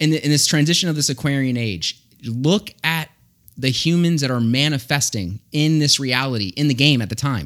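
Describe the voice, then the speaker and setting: On a very clean recording with a silent background, a man with an American accent and a plain, everyday voice speaks at a fairly high pitch with ordinary pitch variation. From Florida, Tampa. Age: 30s. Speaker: AI expert and Coast Guard veteran. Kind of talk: casual chat. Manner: fast.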